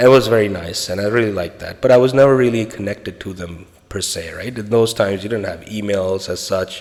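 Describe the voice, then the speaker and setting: In a Spanish accent, a man talks at a very fast pace with hardly any pauses, his fairly low voice showing ordinary pitch variation and big swings in loudness. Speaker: podcaster on a spiritual journey. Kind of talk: personal storytelling monologue. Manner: casual, conversational.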